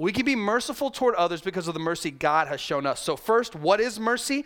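A man with an American accent speaks at a fairly quick pace. His pitch swings very widely. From US South. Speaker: pastor. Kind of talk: sermon. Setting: church.

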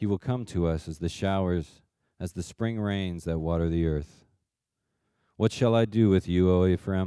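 A man with a very deep, low pitch and a dark, mellow tone speaks with fairly even intonation in a very clean recording with a silent background. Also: moderate pace, dry, close sound with no echo. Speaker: scripture reader. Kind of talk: reading aloud. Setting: church.

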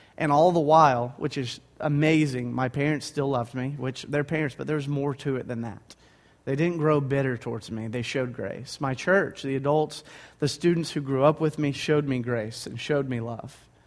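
This man's fairly high pitch stays on a fairly even line as he speaks at a moderate pace. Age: 20s. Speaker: guest preacher. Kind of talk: sermon. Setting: church.

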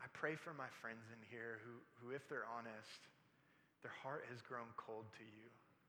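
In audible room echo, a man with a bright, sharp tone speaks at a moderate pace with fairly even intonation. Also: medium pitch for a man. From military family, moved around. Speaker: pastor. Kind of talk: sermon. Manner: halting, repeats words.

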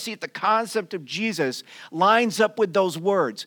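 A man with a high voice projects loudly in a bright, sharp tone, his intonation lively and his pace fairly slow, on a very clean recording with a silent background. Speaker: preacher. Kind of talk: sermon; call-and-response preaching, congregation answering 'amen' to each prompt. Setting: church with a live congregation. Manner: animated, warm, rhythmic, repeating a pattern to draw out the congregation's amen.

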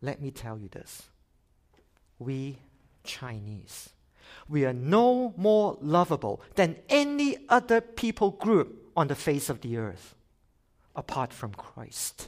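In a very clean recording with a silent background, a man with a fairly high pitch speaks at a very slow pace, with long, frequent pauses and very wide pitch swings. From Hong Kong. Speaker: missionary organization worker. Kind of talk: sermon. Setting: church. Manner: animated.

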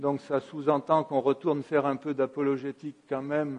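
The man's fairly high voice carries a monotone, flat intonation. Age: 60s. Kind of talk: sermon. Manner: halting.

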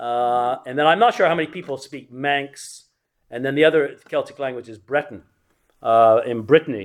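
A man with an English accent, fairly high-pitched, at a moderate pace with ordinary pitch variation and big swings in loudness. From England. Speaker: church history teacher. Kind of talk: lecture. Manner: halting.

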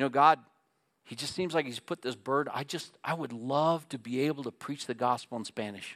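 Very clean recording, silent background, with a dry, close sound and no echo. A man with a plain, everyday voice talks at a moderate pace and fairly high pitch with ordinary pitch variation. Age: 60s. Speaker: pastor. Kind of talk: sermon.

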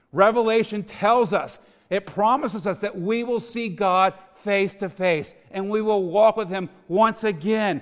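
A high-voiced man with a Texan accent, fairly slow, with ordinary pitch variation. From Texas. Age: 40s. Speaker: ministry executive director. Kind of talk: sermon.

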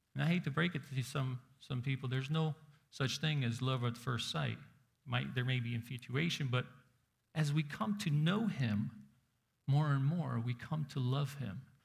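A man speaks at a medium pitch and a moderate pace, with ordinary pitch variation and a somewhat breathy quality. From Soviet Union. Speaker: pastor. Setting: church service with congregation. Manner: direct, engaging, calling for raised hands; earnest, building repetitive cadence of chained 'so that you might' clauses.

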